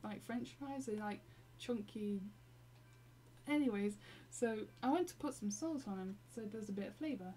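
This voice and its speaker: With an English accent, a woman at medium pitch talks at a moderate pace, her pitch swinging very widely between long, frequent pauses. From Britain. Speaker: gaming live streamer. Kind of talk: casual live stream chat. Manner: halting, many fillers.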